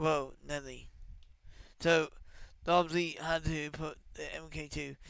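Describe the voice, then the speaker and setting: A quiet, strained male voice at a very slow pace. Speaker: gaming YouTuber and streamer. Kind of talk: casual commentary on game patch notes; reading patch notes aloud. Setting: home, early morning recording. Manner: quiet, restrained; distracted, off-the-cuff.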